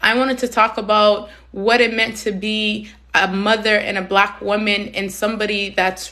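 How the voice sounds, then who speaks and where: Loud and passionate, a woman speaks at a medium pitch and a moderate pace in a bright, sharp tone with monotone, flat intonation. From Somalia, raised in Canada from age six. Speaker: community advocate, live stream host. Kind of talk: live stream talk. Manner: emphatic, passionate.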